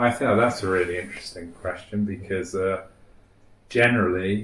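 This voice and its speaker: Audible room echo surrounds a man speaking at a moderate pace in a fairly low pitch. His intonation stays fairly even. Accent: southern English. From Wales, then London from age seven. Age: 60s. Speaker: fund manager and bridge player. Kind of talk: interview. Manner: halting, repeats words.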